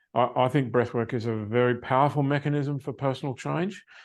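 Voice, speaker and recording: Speaking with an Australian accent, a man keeps a fairly quick pace and fairly even intonation at a medium pitch. The background is quiet. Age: 70s. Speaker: success coach. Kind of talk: interview.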